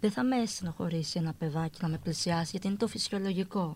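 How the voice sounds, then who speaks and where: A woman speaks at a moderate pace with a fairly low pitch. Her somewhat breathy voice has ordinary pitch variation. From Greece, Athens. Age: 40s. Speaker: woman with achondroplasia. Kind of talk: interview.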